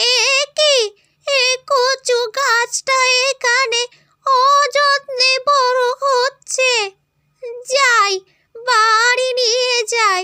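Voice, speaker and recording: Using a cartoonish character voice, a woman speaks at an extremely high pitch and a very slow pace, with monotone, flat intonation and very even loudness. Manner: grumbling, insistent.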